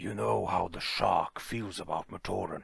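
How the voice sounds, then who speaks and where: A man performs a put-on character voice with a raspy quality. He talks at a moderate pace. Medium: read story.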